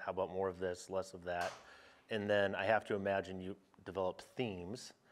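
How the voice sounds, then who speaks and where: The voice is a man's, fairly low in pitch. He talks at a fairly quick pace. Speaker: golf podcast host. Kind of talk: casual chat. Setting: on location at golf facility. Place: meeting room.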